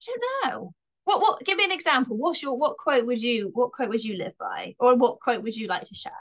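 A woman with a slight Bristolian accent talks fairly quickly in a high pitch, her loudness swinging widely and her pitch swinging very widely. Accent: slight Bristolian twang. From Bristol, England. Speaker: comedian. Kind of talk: casual chat. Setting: podcast interview.

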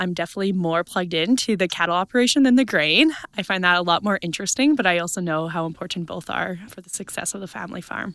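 In a Canadian Prairie accent, a woman with a fairly low pitch talks at a very fast pace with hardly any pauses, ordinary pitch variation and big swings in loudness. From east central Saskatchewan. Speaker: agricultural events worker and farmer. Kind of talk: interview. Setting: conference.

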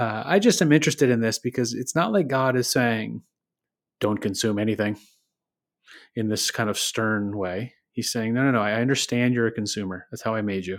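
Very clean and set against a silent background, this recording has a man with a normal speaking voice and an American accent talking at a fairly quick pace, medium in pitch with ordinary pitch variation. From Michigan, US. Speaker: devotional podcast host. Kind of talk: devotional reflection, casual.

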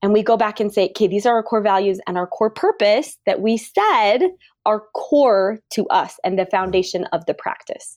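Here is a woman with a plain, everyday voice, pitched fairly high. She talks at a moderate pace with ordinary pitch variation. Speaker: dental practice coach. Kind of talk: casual chat.

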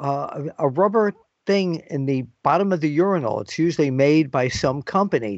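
The speaker uses a normal speaking voice with lively intonation. The pace is fairly slow. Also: man. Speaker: wrestling journalist interviewer. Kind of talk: interview. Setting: phone call on assignment.

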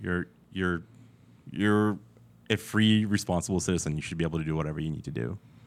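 A man with a very deep, low pitch talks at a very fast pace, with ordinary pitch variation and long, frequent pauses. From Soviet Union. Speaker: firearms industry marketing consultant. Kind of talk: podcast interview. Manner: halting, frequent repetitions.

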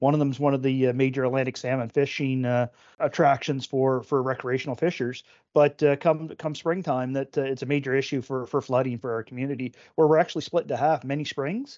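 A very fast man's voice in a Nova Scotian accent, medium in pitch, with fairly even intonation. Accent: Nova Scotian Canadian English. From Nova Scotia, Canada (Oxford, Cumberland County). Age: 40s. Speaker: provincial politician and retired fire chief. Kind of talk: casual interview. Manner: halting, many fillers.

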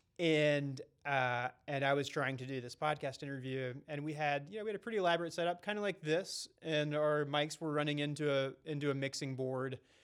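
Speaking at a fairly quick pace with hardly any pauses, a man with an American accent uses a fairly high pitch and ordinary pitch variation. His is a plain, everyday voice. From North Carolina. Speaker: podcast co-host. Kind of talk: casual chat.

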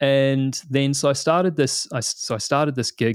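Speaking at a fairly quick pace, a man talks with a New Zealand accent. The recording is very clean, with a silent background. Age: 30s. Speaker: product manager. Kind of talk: interview. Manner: casual.

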